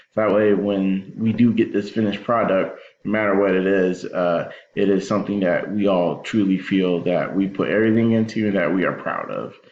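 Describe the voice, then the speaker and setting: Monotone and flat in intonation, a man speaks at a fairly low pitch. His pace is fairly quick. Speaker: educator in higher education. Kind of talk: recorded presentation. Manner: hesitant, many fillers.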